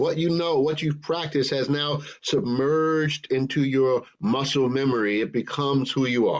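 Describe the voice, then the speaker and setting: An unremarkable speaking voice from a man, fairly high in pitch, at a moderate pace with fairly even intonation, very even loudness and hardly any pauses. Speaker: minister. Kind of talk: sermon delivered to a congregation.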